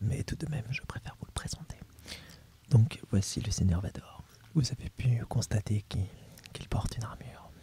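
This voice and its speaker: A man whispers over noticeable background noise. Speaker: ASMR creator. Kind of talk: ASMR role play as an instructor presenting a topic. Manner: soft-spoken, whispered.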